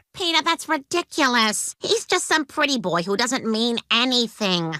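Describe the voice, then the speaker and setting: In a cartoonish character voice, a woman speaks at a high pitch with very wide pitch swings and very even loudness. Her pace is moderate, and the sound is dry and close with no echo. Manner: chiding.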